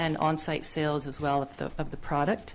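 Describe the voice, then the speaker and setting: A woman speaks at a moderate pace with a Canadian accent. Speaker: business applicant, engineer. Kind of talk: public hearing presentation. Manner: loud.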